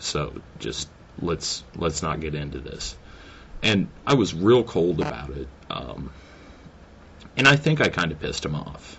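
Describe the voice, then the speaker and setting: Fairly slowly and with vocal fry, a man with a very deep, low pitch speaks with lively intonation, big swings in loudness and long, frequent pauses. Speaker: video blogger. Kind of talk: casual vlog monologue. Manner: halting, stammering; hesitant with many fillers.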